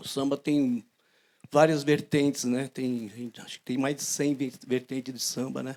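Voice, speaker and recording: In a very clean recording with a silent background, a man keeps a moderate pace. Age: 60s. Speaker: audience member, percussion teacher. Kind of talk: public Q&A question. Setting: outdoor bandstand with audience. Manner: halting.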